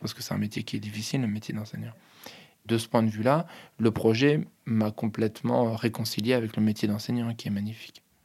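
Speaking at a moderate pace, a man has a normal speaking voice at medium pitch. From Paris region (Hauts-de-Seine). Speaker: high school teacher. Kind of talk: interview testimony.

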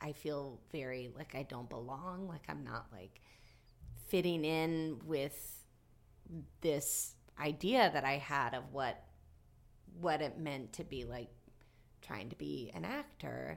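Using a very deep, low pitch and vocal fry, a woman with an American accent speaks at a very slow pace with lively intonation, big swings in loudness and long, frequent pauses. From southwestern Virginia, US. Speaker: actress and comedian. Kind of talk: casual chat.

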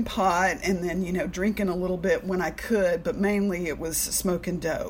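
A woman at medium pitch with fairly even intonation and hardly any pauses, amid noticeable background noise. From Alabama, US South. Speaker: recovery meeting speaker sharing her story. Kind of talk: personal testimony. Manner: casual, filler-heavy.

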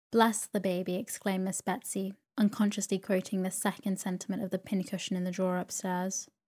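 The voice is plain reading aloud.

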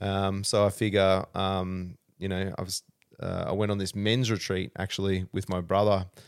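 A man with an Australian accent, fairly low pitch and monotone, flat intonation at a moderate pace, on a very clean recording with a silent background. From rural Australia. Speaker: martial arts coach and wellness business owner. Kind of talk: casual chat.

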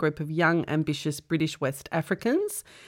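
Spoken at a fairly quick pace with an Australian accent, this very clean recording has a silent background. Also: woman. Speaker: comedian and podcast host. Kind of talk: casual chat. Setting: studio.

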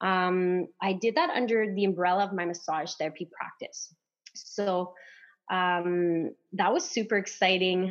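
With a French accent, the speaker talks at a fairly slow pace with fairly even intonation against a quiet background. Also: woman, medium pitch for a woman. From Canada, northern Ontario, French-speaking. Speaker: acupuncturist and massage therapist. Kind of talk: casual podcast interview.

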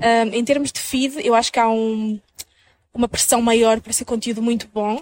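This woman's pitch is high. Her pace is moderate. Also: dry, close sound with no echo. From northern Portugal (Minho). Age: 20s. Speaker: content creator and social media manager. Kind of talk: interview conversation.

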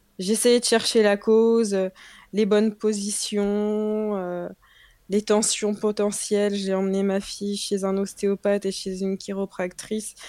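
On a very clean recording with a silent background, a woman speaks at a very slow pace in a flat monotone at a medium pitch. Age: 20s. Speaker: mother sharing breastfeeding experience. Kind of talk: casual interview.

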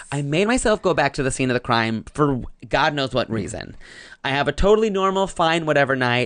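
A plain, everyday voice with an American accent moves at a fairly quick pace with hardly any pauses over a quiet background. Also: man, fairly high pitch for a man, lively intonation. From US South, North Carolina. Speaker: actor and comedian. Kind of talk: casual chat.

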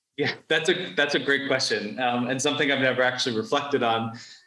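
Heard with audible room echo, a man speaks at a medium pitch with an American accent. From New York. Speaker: freelance writer and content strategist. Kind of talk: interview conversation.

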